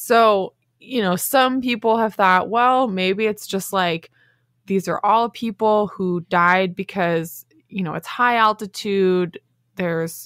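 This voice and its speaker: At a fairly slow pace with ordinary pitch variation, the voice comes through a very clean recording with a silent background and a dry, close sound with no echo. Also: woman. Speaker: science podcast co-host. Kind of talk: casual chat. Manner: giggly.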